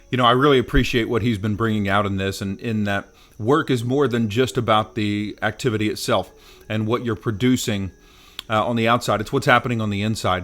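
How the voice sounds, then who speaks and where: A man speaks at a fairly quick pace with a medium pitch. His intonation stays fairly even. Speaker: cigar vlogger. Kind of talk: casual vlog talk. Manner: loud.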